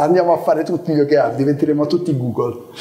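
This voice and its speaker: A man speaks with fairly even intonation. Noticeable background noise can be heard behind him. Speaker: product executive giving a talk. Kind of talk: conference talk, casual and joking. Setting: live meetup with audience. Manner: informal, humorous, with hesitations.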